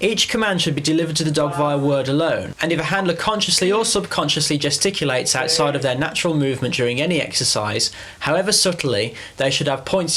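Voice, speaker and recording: A man with an English accent speaks at a very fast pace and a fairly high pitch, with ordinary pitch variation and very even loudness, over noticeable background noise. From England. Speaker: dog trainer. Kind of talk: scripted narration.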